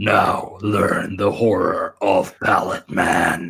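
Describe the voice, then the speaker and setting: Putting on a character voice, a man speaks in a fairly low pitch with a dramatic tone. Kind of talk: dramatic announcer narration. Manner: dramatic, ominous.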